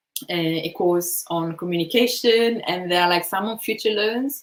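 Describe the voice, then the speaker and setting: Fairly quick speech from a woman in an Italian accent, with fairly low pitch and ordinary pitch variation. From Italy, Bergamo province. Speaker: design manager. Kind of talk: conference Q&A. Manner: hesitant, many fillers.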